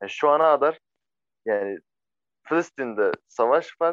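The voice belongs to a man and shows ordinary pitch variation. The sound is dry and close, with no echo. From Syria. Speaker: refugee. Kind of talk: interview. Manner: halting.

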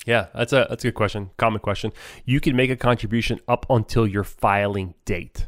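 A man with an ordinary speaking voice and medium pitch talks at a fairly quick pace with fairly even intonation, on a very clean, dry, close recording with a silent background and no echo. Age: 40s. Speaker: financial advisor and podcast co-host. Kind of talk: casual educational chat.

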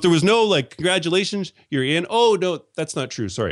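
A man speaks with a Canadian accent and lively intonation. He has a plain, everyday voice. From Canada. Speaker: podcast host. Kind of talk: casual chat. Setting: video call.

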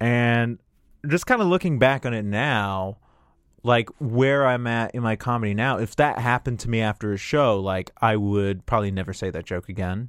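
A normal speaking voice from a man, medium in pitch with ordinary pitch variation, at a moderate pace. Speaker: comedian. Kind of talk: casual chat. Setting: studio.

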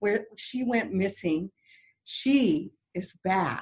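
Very slowly, a woman speaks with lively intonation at a medium pitch, her voice somewhat breathy. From French Canadian background. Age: 60s. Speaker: motivational speaker and radio host. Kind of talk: interview; personal testimony.

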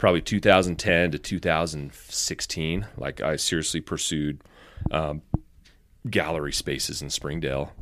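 A man with vocal fry, a very deep, low pitch and a moderate pace. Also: ordinary pitch variation. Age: 30s. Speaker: firefighter and photographer. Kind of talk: casual chat.

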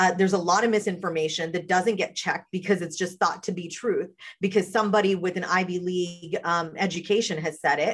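A woman's plain, everyday voice with an American accent, medium in pitch, fairly quick and fairly even, with hardly any pauses. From rural southern West Virginia. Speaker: political strategist. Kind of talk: casual political discussion.

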